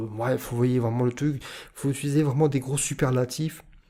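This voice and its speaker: Speaking in a northern French accent, a man at medium pitch keeps a moderate pace with fairly even intonation and a dark, mellow tone. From northern France. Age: 30s. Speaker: YouTuber / self-confidence vlogger. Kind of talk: vlog monologue. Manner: hesitant, many filler sounds; weak articulation.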